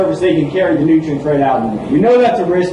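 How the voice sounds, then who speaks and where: Audible room echo and noticeable background noise surround a man with an American accent. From Delaware, US Mid-Atlantic. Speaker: agricultural scientist. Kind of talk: lecture. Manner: fast.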